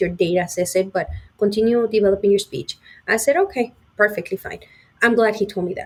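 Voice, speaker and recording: Very fast in pace, a woman talks with fairly even intonation. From Mexico (Puebla). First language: Spanish. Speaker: sales engineer. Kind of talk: interview.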